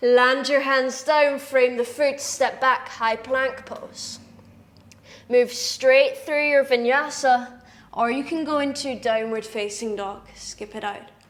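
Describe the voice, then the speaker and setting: In a Scottish accent, a woman with a high voice talks very slowly in a calm tone, her intonation fairly even but her loudness swinging widely. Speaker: yoga teacher. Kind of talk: guided yoga class instruction. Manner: calm, instructive.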